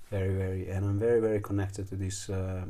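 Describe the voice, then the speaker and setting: A somewhat breathy, dark, mellow voice at a fairly quick pace, with audible room echo. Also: man. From Italy. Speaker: trekking guide and fire keeper. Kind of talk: casual chat. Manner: halting.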